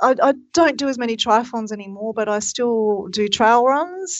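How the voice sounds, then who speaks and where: A woman with an Australian accent at a fairly high pitch, fairly slow, with lively intonation. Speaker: triathlon technical official. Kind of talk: casual chat.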